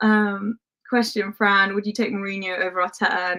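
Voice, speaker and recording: This woman's voice sits at a fairly high pitch and has a bright, sharp tone. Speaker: football content creator. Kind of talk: live stream chat reading comments.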